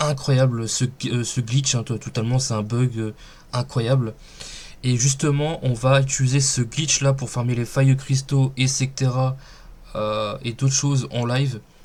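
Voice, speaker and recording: This man has a medium pitch and a somewhat breathy voice. He speaks fairly slowly with monotone, flat intonation. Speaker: gaming youtuber. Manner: hesitant, many fillers.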